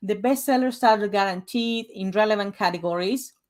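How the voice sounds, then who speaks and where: A woman talks with a Spanish accent. Her pace is fairly quick and her pitch varies in an ordinary way. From Uruguay. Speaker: author and book coach. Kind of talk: presentation / sales pitch. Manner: casual, conversational.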